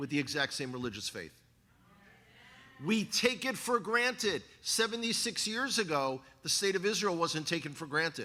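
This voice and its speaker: Bright, sharp and animated, a man with a New York accent talks at a high pitch with very wide pitch swings. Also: moderate pace. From New York City (the Bronx). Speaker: guest speaker, former Israel tour guide. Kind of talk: sermon. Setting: church congregation with slides.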